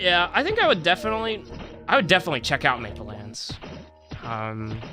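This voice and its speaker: Noticeable background noise fills the clip. The talking comes at a fairly quick pace. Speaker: gaming streamer. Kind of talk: casual live stream chat. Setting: live stream. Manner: halting, repeats words.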